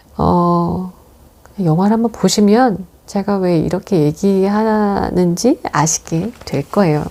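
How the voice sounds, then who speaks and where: A woman talks very slowly in a calm, soothing tone that is also dark and mellow. Her pitch varies in an ordinary way. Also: medium pitch for a woman. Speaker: movie review host. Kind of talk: reading aloud a written film review. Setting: room at home. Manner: calm, soothing, sleep-inducing; unhurried, not playful.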